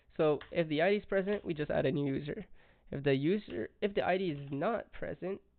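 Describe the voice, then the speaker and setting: A man's high-pitched voice with a strong French accent, fairly quick in pace, with ordinary pitch variation. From France. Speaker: coding tutorial youtuber. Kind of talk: tutorial. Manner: casual, halting with fillers.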